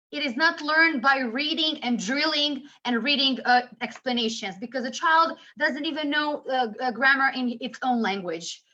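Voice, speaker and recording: At a moderate pace, a raised, projected voice carries ordinary pitch variation. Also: woman, high pitch for a woman. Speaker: English teacher trainer. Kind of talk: webinar presentation.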